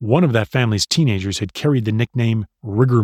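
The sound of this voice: Against a quiet background, the voice is an unforced reading voice.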